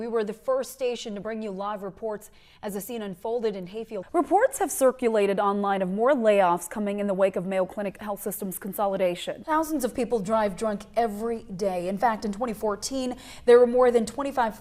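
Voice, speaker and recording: A woman speaks fairly quickly with hardly any pauses, her pitch fairly high with ordinary variation. Noticeable background noise is present. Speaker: news anchor and reporter. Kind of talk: TV news anchor read.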